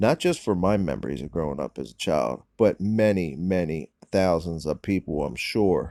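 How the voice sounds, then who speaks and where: A man with an American accent and a very deep, low pitch, dark and mellow in tone, lively intonation at a fairly slow pace, dry and close with no echo, on a very clean recording against a silent background. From Delaware, US (Wilmington, New Castle). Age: 40s. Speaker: vlogger. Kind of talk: casual vlog monologue. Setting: in a car. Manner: casual, rambling with fillers.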